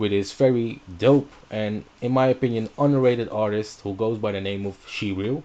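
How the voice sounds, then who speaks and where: The voice belongs to a man with a Dutch accent and a dark, mellow tone. His intonation is fairly even. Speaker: radio host. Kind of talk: radio show intro. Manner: casual, hesitant with fillers.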